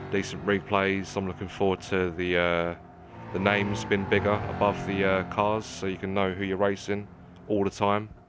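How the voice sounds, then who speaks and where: A man with a British accent speaks in a monotone, flat way at a fairly low pitch. His pace is moderate, with noticeable background noise. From England. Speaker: gaming streamer. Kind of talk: livestream commentary while gaming. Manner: casual, conversational with hesitations.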